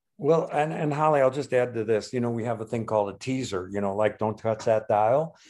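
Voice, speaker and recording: With an American accent and an unremarkable speaking voice, a man talks fairly quickly with hardly any pauses at medium pitch and ordinary pitch variation, in a very clean recording with a silent background. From US Midwest, Chicago. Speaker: podcast co-host, musician and guitar replica maker. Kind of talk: casual chat.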